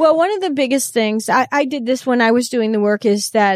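In a Chicago accent, the speaker shows ordinary pitch variation on a very clean recording with a silent background. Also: woman. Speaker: customer experience consultant and author. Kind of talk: interview conversation.

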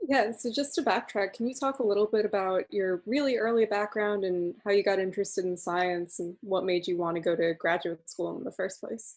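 This woman has an unremarkable speaking voice at medium pitch with ordinary pitch variation. She talks at a fairly quick pace with hardly any pauses. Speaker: podcast host. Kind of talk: interview.

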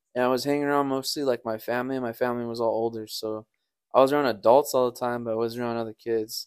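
Speaking at a very fast pace, a man delivers monotone, flat intonation at a medium pitch on a very clean recording with a silent background. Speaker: co-host and partner.

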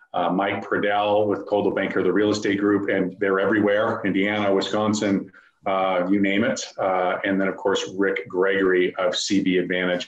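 A man speaks at a moderate pace in a fairly low, flat monotone. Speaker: event host. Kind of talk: event introduction. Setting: video call.

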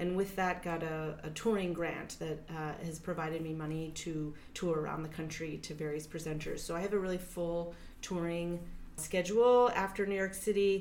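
A woman speaks at a moderate pace in a fairly low voice with fairly even intonation. Room echo is audible. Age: 40s. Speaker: dance artist and performer. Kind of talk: interview. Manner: hesitant, many filler words.

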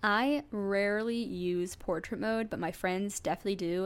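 A woman with an American accent uses a normal speaking voice, fairly high in pitch with ordinary variation, in a very clean recording with a silent background. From US Midwest, suburbs of St. Louis, Missouri. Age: 20s. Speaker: podcast host. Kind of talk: casual solo podcast monologue. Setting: home recording with a USB microphone.

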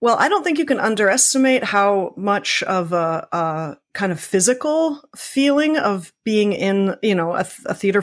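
With a Canadian accent, a woman speaks in a normal speaking voice at medium pitch with lively intonation, on a very clean recording with a silent background. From Canada, Scarborough (Toronto). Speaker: visual artist. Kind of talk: interview.

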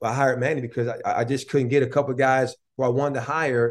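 A man has a plain, everyday voice at medium pitch. He speaks at a fairly quick pace with fairly even intonation. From Buffalo, New York (east side). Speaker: college basketball head coach. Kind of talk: interview.

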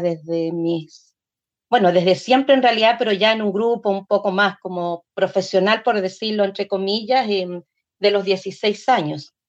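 A woman at a moderate pace and medium pitch, with ordinary pitch variation and an unremarkable speaking voice. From Chile. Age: 60s. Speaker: folk singer and dancer. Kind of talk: interview.

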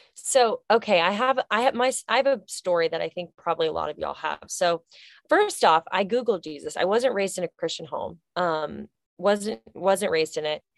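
A woman at a medium pitch with vocal fry, an animated tone and lively intonation, at a moderate pace, in a dry, close sound with no echo over a quiet background. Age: 20s. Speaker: author and speaker. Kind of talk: casual chat.

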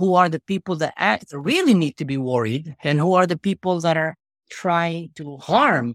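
A man with a high pitch and an Arabic accent, passionate tone, lively intonation and moderate pace, in a dry, close sound with no echo on a very clean recording with a silent background. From Israel. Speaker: social media content creator. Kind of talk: interview.

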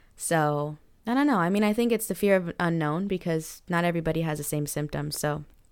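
In a very clean recording with a silent background, a woman talks at a fairly quick pace with fairly low pitch, ordinary pitch variation, and a normal speaking voice. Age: 30s.

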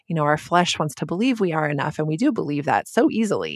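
Against a quiet background, a woman speaks at a fairly quick pace in a plain, everyday voice, her pitch fairly low with ordinary variation. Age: 40s. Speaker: author and church planter's wife. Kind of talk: casual interview.

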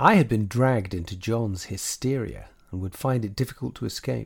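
The man's fairly low voice is somewhat breathy, with ordinary pitch variation and a fairly slow pace. The recording is very clean, with a silent background. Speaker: audiobook narrator. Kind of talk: horror story narration, read aloud in a hushed, creeping tone. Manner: formal, old-fashioned storyteller delivery.

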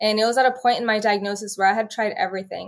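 Here a woman speaks with an American accent. Her pitch is fairly high. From California, Bakersfield. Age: 20s. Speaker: healthcare worker and lupus patient. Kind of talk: interview.

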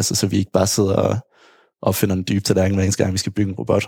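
A man with a dark, mellow tone and fairly low pitch sounds dry and close, with no echo. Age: 30s. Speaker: hospital IT team leader. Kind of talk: interview.

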